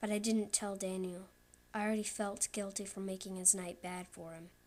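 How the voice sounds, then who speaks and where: A woman speaks at a medium pitch and a moderate pace in monotone, flat intonation. The recording is very clean, with a silent background. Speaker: creepypasta narrator. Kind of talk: horror story reading. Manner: loud.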